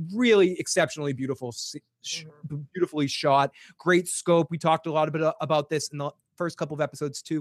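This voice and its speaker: A man with a Boston accent talks at a fairly quick pace and a fairly high pitch, in a very clean recording with a silent background and a dry, close sound with no echo. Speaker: podcast host.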